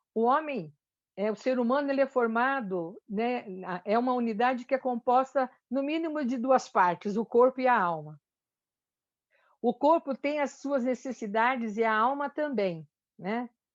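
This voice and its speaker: Her pitch is high and her intonation lively. The woman talks at a fairly slow pace. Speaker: church speaker on anxiety and fear. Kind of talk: talk in a church meeting. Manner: halting, many fillers and restarts.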